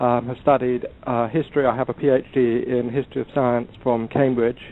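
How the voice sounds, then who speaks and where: Speaking at a moderate pace with an English accent, a man keeps his intonation monotone and flat. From England. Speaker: historian of science and author. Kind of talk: podcast interview. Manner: halting, many ums and uhs.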